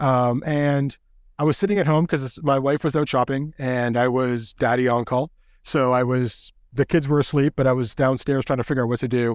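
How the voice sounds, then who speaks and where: A man talks at a moderate pace in a plain, everyday voice. His pitch is medium, and his intonation is fairly even. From Canada. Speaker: toy photographer and educator. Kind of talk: casual interview. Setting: video call.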